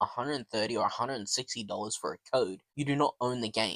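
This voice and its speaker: A man speaks at a medium pitch with a bright, sharp tone and ordinary pitch variation. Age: middle-aged. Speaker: gaming commentator. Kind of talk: opinion commentary to camera. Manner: indignant, ranting.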